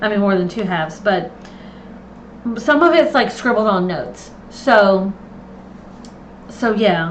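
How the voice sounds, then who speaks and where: A woman's medium-pitched voice, fairly slow with long, frequent pauses, amid noticeable background noise and audible room echo. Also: lively intonation. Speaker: planner content creator. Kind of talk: live stream tutorial. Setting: home live stream, camera off. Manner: casual, chatty.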